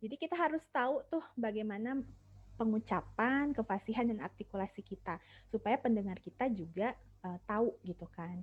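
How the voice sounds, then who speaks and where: A woman speaks in a West Javanese accent, her voice somewhat breathy and fairly high-pitched. Her intonation is lively and her pace moderate. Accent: Sundanese. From Sumedang, West Java, Indonesia.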